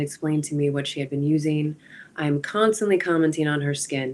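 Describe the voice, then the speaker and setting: Speaking in an American accent, a woman has a very deep, low pitch and fairly even intonation. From Wisconsin. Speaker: interview guest. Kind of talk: interview. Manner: halting.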